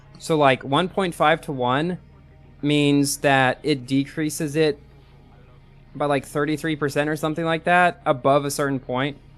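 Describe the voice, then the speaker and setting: Music plays behind a man whose pitch is fairly high. He talks at a moderate pace in a monotone, flat delivery. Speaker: gaming live streamer. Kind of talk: live gaming stream chat. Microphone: new headset microphone with light compression.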